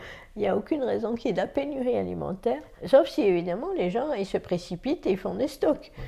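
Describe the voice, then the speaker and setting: Her voice has a dark, mellow tone with vocal fry and a fairly high pitch. The woman talks at a fairly quick pace, with very wide pitch swings and big swings in loudness. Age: 60s. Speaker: senior host in intergenerational housing. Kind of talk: interview testimony.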